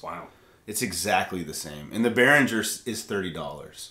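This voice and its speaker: A man's voice comes with audible echo from the room. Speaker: worship leader and channel host; channel host. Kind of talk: casual live stream chat about music gear. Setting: live stream studio. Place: studio.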